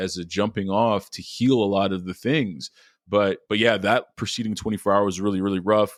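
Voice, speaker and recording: The speech moves at a moderate pace in a dry, close sound with no echo, recorded very cleanly with a silent background. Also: man. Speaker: podcast guest, recovering alcoholic father. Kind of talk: interview testimony. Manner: halting, many repeated fillers.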